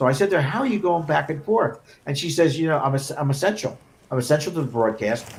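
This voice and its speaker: Somewhat breathy and fairly high-pitched, a man talks at a very fast pace with lively intonation. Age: 60s. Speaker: sports broadcast technical director. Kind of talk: casual chat.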